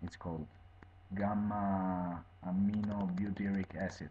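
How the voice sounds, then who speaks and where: A fairly slow, fairly low-pitched man's voice in an Italian accent. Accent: Italian accent, non-native English. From Italy. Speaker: video blogger reviewing medication. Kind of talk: informal explanatory monologue. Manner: halting, many fillers.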